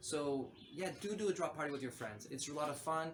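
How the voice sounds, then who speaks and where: The speech has ordinary pitch variation, with noticeable background noise and audible room echo in the recording. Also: man. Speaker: NFT artist and vlogger. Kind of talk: casual vlog talk to camera. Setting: outdoors on a balcony. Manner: fast.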